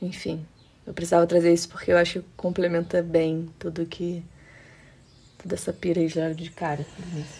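Her voice is fairly low, dark and mellow, and somewhat breathy, as this woman speaks in a flat monotone with long, frequent pauses. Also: moderate pace. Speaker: podcast co-host. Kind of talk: casual conversation.

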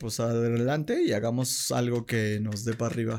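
The man's voice falls at a medium pitch. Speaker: podcast host. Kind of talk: casual chat. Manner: animated.

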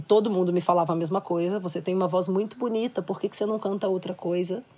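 A woman's dark, mellow voice, fairly low in pitch, at a moderate pace with fairly even intonation. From Minas Gerais countryside, Brazil. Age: 20s. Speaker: singer-songwriter and activist. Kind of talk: panel discussion.

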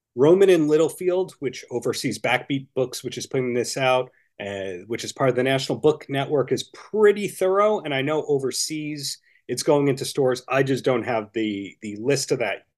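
A man speaks with an American accent in a normal speaking voice, at medium pitch and a moderate pace. His intonation is lively, and the background is quiet. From Long Island, New York. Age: 40s. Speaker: author. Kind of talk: interview.

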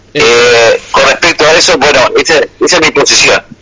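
A man keeps to a moderate pace as noticeable background noise plays behind him. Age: 60s. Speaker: war veteran. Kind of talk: radio call-in conversation.

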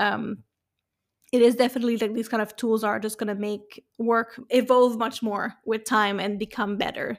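A woman speaks at a moderate pace with a French accent. Her fairly high voice stays monotone and flat. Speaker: podcast host. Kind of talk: interview.

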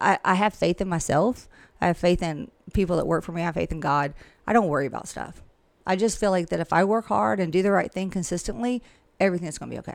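Very fast speech comes from a woman with a Southern US accent at fairly low pitch. The recording is very clean, with a silent background. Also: lively intonation. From US South, Georgia (Millen). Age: 50s. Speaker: real estate broker. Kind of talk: casual interview.

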